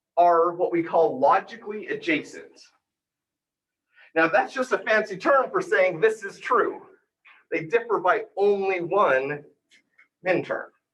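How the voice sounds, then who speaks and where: A man at a high pitch with ordinary pitch variation, a fairly slow pace, and long, frequent pauses. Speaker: university lecturer. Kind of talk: lecture.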